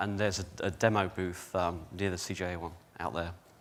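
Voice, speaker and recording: Speaking at a fairly quick pace with a British accent, a man is heard on a very clean recording with a silent background. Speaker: company executive presenter. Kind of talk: conference presentation. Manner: hesitant, many fillers.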